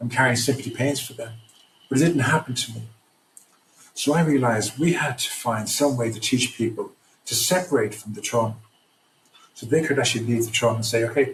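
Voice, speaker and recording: This man speaks at a medium pitch and a fairly quick pace, his voice somewhat breathy with ordinary pitch variation. His loudness swings widely, and he leaves long, frequent pauses. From Ireland. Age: 60s. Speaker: trauma recovery program founder. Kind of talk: podcast interview. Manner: halting, repeats words.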